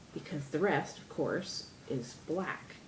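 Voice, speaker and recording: A woman talks in a very deep, low voice. Audible room echo and noticeable background noise surround her. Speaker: DIY crafts vlogger. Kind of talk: tutorial. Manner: chatty, rambling.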